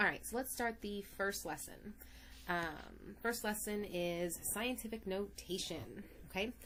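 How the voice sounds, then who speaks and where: In a room with audible echo, a woman talks at a fairly slow pace and a medium pitch. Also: ordinary pitch variation. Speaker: math teacher. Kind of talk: lecture. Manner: animated.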